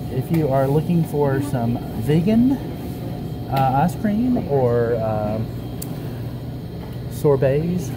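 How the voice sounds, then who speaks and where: The speech moves at a very slow pace over music in the background. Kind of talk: casual vlog chat. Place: cafe. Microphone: phone near.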